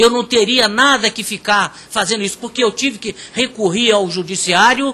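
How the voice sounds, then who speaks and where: The voice is raised and projected, bright and sharp in tone, with fairly even intonation. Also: man. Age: 60s. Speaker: INSS claimant speaking at public hearing. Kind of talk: public testimony. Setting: public hearing in parliament chamber. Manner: impassioned; halting, repeats words.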